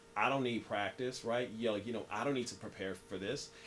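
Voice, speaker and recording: Over noticeable background noise, a man with an American accent talks at a medium pitch with ordinary pitch variation. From US Midwest, Southside Kansas City. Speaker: writer and speaker. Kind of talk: interview. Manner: repetitive, halting; animated.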